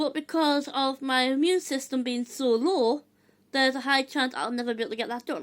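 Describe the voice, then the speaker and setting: A woman talks loudly and fairly quickly in a high voice with fairly even intonation. The recording is very clean, with a silent background. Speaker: video blogger sharing health experiences. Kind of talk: casual vlog talk to camera.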